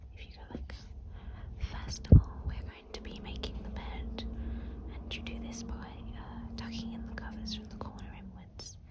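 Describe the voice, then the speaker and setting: Someone is whispering in a relaxed tone. There is noticeable background noise. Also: moderate pace. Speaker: ASMR creator. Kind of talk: whispered ASMR craft hang-out talking to camera. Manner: whispered, rambling, relaxed.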